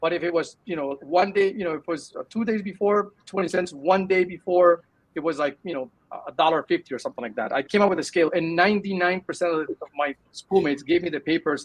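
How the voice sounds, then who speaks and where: At a very fast pace, a man speaks in a high voice with ordinary pitch variation and a dry, close sound with no echo. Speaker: tech startup founder. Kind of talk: interview. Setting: live video show. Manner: halting, many fillers.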